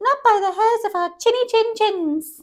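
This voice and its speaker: A woman's squeaky, put-on character voice, extremely high in pitch, at a moderate pace. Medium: read story.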